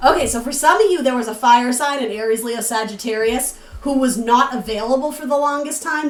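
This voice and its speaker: Amid noticeable background noise and audible room echo, a woman speaks fairly quickly in a high voice. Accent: New England. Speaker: tarot reader. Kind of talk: tarot reading. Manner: casual, chatty with fillers.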